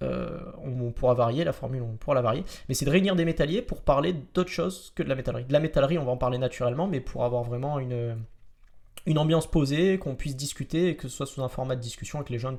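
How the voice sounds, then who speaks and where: A man's very fast speech at fairly high pitch, with ordinary pitch variation, on a very clean recording with a silent background. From Marseille, southern France. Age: 20s. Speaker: metalworker and podcast host. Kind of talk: casual podcast chat. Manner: hesitant, many fillers.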